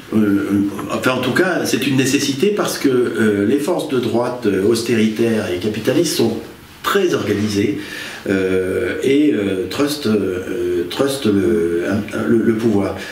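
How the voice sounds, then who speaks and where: Over noticeable background noise and audible room echo, a man with a fairly low pitch speaks very slowly, his intonation lively and his loudness very even. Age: 60s. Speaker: politician. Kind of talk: interview. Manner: halting.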